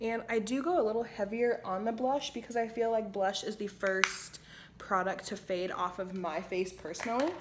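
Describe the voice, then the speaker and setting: A woman's normal speaking voice, fairly high in pitch with ordinary variation, at a moderate pace. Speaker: beauty vlogger. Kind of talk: makeup tutorial. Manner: casual, chatty.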